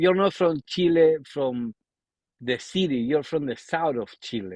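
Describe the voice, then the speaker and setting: A man with an Argentine accent, fairly high pitch, lively intonation, and a fairly slow pace, in a dry, close sound with no echo against a quiet background. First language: Spanish. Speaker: podcast host. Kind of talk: casual chat.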